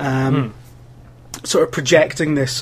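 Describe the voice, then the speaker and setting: A man with a Scottish accent speaks very slowly. His fairly high voice sounds somewhat breathy. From Scotland (Wales until about 10). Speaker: games journalist and video producer. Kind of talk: casual chat.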